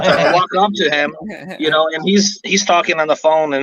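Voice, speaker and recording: Talking at a very fast pace, a man with a fairly high pitch is heard over noticeable background noise. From Ukraine. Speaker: guest on motorcycle talk show. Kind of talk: casual chat.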